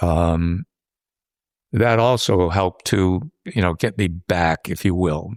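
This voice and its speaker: Very even in loudness, a man with a very deep, low voice speaks at a very slow pace with ordinary pitch variation, in a dry, close sound with no echo. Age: 80s+. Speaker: war veteran. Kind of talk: interview answer.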